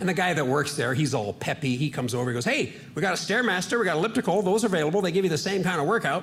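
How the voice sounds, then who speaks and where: A man talks at a very fast pace with hardly any pauses, a high pitch and lively intonation, at very even loudness. Noticeable background noise runs underneath. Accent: American. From Washington State, US. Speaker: stand-up comedian. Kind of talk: stand-up.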